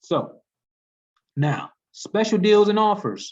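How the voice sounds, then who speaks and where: A man speaks against a quiet background. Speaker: travel agency trainer. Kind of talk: training webinar. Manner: casual, conversational.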